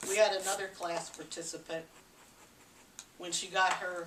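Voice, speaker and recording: A woman with an American accent speaks at a moderate pace in a fairly low pitch, with audible room echo and noticeable background noise. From US West Coast, Los Angeles. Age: 80s+. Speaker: parenting educator. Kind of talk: talk to an audience.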